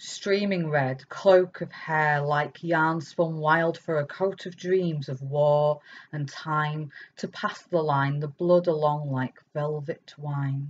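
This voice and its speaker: A woman with a very deep, low pitch, fairly even intonation and a very slow pace. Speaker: poet and author. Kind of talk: poem performed, reading own verse aloud; talk with poetry readings at online festival. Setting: online festival recording. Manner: lyrical, measured, expressive cadence. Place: home room. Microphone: webcam.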